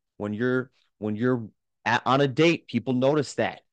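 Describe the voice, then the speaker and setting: In an animated tone, a man of medium pitch speaks at a moderate pace with ordinary pitch variation, in a dry, close sound with no echo. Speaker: fitness coach, podcast host. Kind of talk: pep talk. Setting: solo podcast. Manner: animated, motivational, repetitive.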